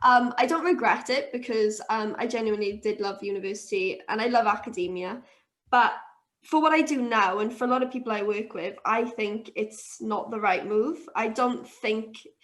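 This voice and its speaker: In a Welsh accent, a woman speaks at a moderate pace with a fairly high pitch and ordinary pitch variation. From Wales, Swansea. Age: 20s. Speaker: brewery co-founder. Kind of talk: interview.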